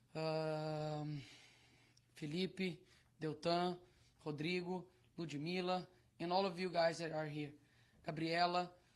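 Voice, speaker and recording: Long, frequent pauses break up a man's very slow, monotone, flat delivery in a high voice. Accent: Brazilian Portuguese. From Brazil. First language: Portuguese. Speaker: politician. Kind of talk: speech at press conference. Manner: halting.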